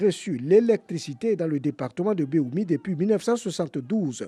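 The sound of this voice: A man speaks at a moderate pace in a fairly high voice, his dark, mellow tone carrying a slightly husky edge and lively intonation.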